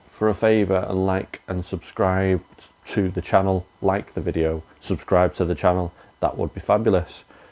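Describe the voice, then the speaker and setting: A man with an English accent talks at a fairly slow pace in a very deep, low pitch. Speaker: reseller YouTuber. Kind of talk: casual vlog outro. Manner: filler-heavy casual.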